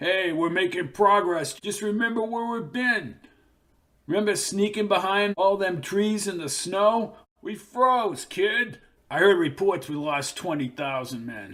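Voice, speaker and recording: Putting on a character voice, a man speaks gruffly at a high pitch and a fairly slow pace, with lively intonation. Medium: read story. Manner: blunt, slangy, commanding.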